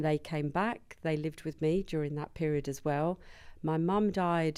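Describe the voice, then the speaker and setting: A woman's very deep, low voice with a dark, mellow tone and a slight Birmingham accent, at a moderate pace with ordinary pitch variation, in a very clean recording over a silent background. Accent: slight Birmingham twang. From Birmingham, England. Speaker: business founder, compliance consultant. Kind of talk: interview.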